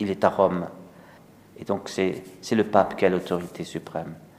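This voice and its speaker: A man talks at a fairly slow pace. His pitch is fairly low. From Alsace, France. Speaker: priest. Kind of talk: sermon. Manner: halting.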